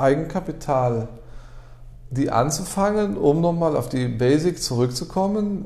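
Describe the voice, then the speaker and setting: A man with a normal speaking voice talks at a moderate pace, fairly high in pitch, with lively intonation. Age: 30s. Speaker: car garage owner. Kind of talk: interview.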